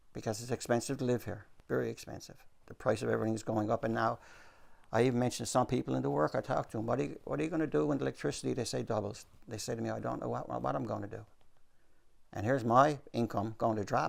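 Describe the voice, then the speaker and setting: With a Newfoundland accent and vocal fry, a man talks at a very fast pace while his pitch swings very widely. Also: fairly low pitch for a man. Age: 70s. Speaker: retired salesman, pensioner. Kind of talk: interview.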